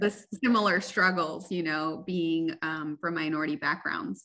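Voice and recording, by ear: A woman speaks at a moderate pace with fairly even intonation. Her fairly low pitch has a bright, sharp tone.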